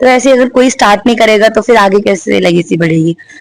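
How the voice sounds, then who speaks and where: A woman with a fairly high pitch has a plain, everyday voice. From western Uttar Pradesh, India (Bulandshahr). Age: 20s. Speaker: MMA fighter. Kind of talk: interview.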